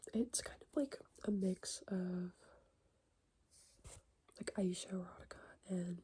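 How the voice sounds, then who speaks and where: A soft-spoken woman with a somewhat breathy voice and a dark, mellow tone speaks at a fairly slow pace and medium pitch, with ordinary pitch variation, big swings in loudness, and long, frequent pauses. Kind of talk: soft-spoken ASMR catch-up talk.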